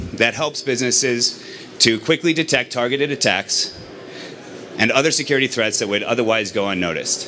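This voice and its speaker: Over noticeable background noise, a man talks at a fairly quick pace with lively intonation. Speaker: startup executive. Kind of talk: sales pitch.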